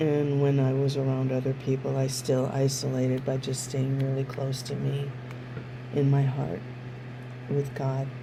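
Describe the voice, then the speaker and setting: A woman's very deep, low voice, monotone and flat, at a moderate pace, with noticeable background noise and audible room echo. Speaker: somatic educator. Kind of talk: personal testimony.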